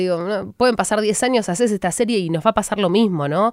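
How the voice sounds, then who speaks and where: A woman at a medium pitch and moderate pace, a normal speaking voice with lively intonation, on a very clean recording with a silent background. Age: 30s. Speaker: sports journalist and broadcaster. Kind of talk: interview.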